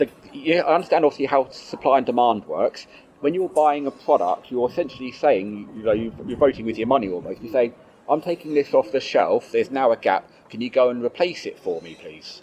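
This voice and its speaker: Noticeable background noise surrounds a man speaking at a fairly quick pace in a fairly high pitch. His intonation is lively, with big swings in loudness. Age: young. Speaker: vegan advocate interviewer. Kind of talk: casual interview.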